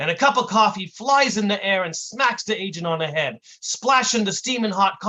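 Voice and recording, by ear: Lively intonation marks this reading aloud, done in a natural voice.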